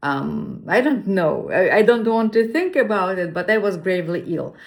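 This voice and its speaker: A woman talks at a medium pitch and a moderate pace. Her pitch varies in an ordinary way, and audible room echo sits around her voice. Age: 60s. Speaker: fasting vlogger. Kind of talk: personal testimony. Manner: halting.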